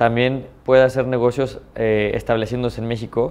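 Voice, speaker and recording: Here a man talks with a Mexican accent. His intonation is flat and monotone. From Mexico, San Luis Potosí. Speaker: businessman. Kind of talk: interview. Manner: hesitant, many fillers. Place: office. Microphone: lapel.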